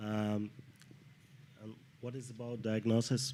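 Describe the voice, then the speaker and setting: A man talks in a Russian accent. His pitch is fairly low and his intonation monotone and flat. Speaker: clinical pharmacologist. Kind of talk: panel discussion. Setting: studio with live audience. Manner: halting, many hesitations.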